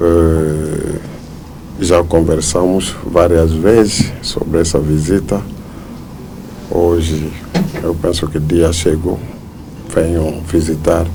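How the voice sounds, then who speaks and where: Very deep and low in pitch, a man speaks at a very slow pace in a monotone, flat intonation with long, frequent pauses, amid noticeable background noise and audible room echo. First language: not Portuguese (speaking Portuguese). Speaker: church leader. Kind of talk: press interview. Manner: halting, with fillers.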